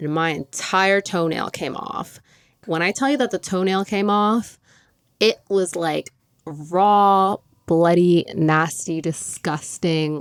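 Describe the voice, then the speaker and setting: Upbeat in tone, a woman speaks at a very slow pace and a fairly low pitch. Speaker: podcast host; runway model. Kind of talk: casual podcast talk. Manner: chatty, upbeat.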